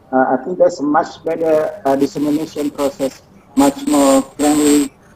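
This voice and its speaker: A man talks at a moderate pace and a fairly high pitch, with noticeable background noise around him. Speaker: professor. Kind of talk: webinar presentation and Q&A. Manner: halting.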